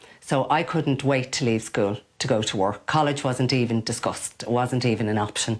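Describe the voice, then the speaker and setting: A woman speaks with a Dublin accent. Her pace is fairly quick and her pitch variation is ordinary. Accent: Dublin Irish. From Ireland, Dublin (Ballyfermot). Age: 50s. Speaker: cat sitter, business owner. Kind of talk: interview.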